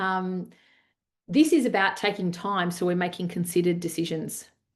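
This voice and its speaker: A woman talks in a medium pitch against a quiet background. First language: Italian. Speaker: leadership coach. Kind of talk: online masterclass. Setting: video call.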